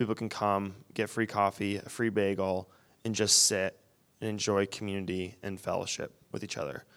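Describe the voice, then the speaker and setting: In a very clean recording with a silent background, a man with a Michigan accent speaks at a moderate pace, his fairly low voice holding fairly even intonation. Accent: US Midwest, Michigan. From Wyoming, Michigan (Grand Rapids area). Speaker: missions student. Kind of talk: interview on stage. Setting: church.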